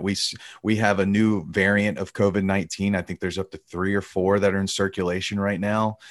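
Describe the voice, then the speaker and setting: In an Alabama accent, a man talks at a fairly quick pace over a quiet background. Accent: Southern US (Alabama). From US South, Alabama. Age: 30s. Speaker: tour manager. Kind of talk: casual interview.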